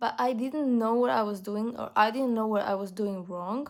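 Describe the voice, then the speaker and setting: In a very clean recording with a silent background, a woman with a non-native accent and a fairly high voice speaks at a moderate pace with ordinary pitch variation. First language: not English. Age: young. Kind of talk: casual talk to camera. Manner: hesitant, many fillers.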